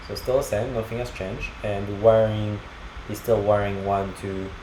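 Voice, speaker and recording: A man keeps a moderate pace while audible room echo and noticeable background noise surround his speech. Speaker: programming tutorial creator. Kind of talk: screencast coding tutorial. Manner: halting, many fillers.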